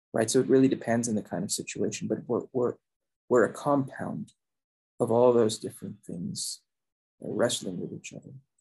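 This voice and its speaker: A man's medium-pitched, dark and mellow voice with vocal fry, lively intonation and big swings in loudness, at a moderate pace with long, frequent pauses. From Philippines. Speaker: sociology professor. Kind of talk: interview. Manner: halting.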